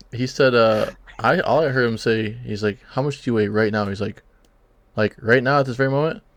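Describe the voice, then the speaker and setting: Using a plain, everyday voice, a man talks fairly quickly. His medium pitch shows ordinary variation. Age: 30s. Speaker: fantasy football podcast host. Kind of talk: casual chat.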